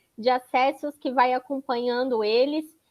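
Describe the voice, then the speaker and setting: Talking at a fairly slow pace, a woman has a high-pitched voice. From Florianópolis, southern Brazil. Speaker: data protection consultant. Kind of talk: panel talk presentation.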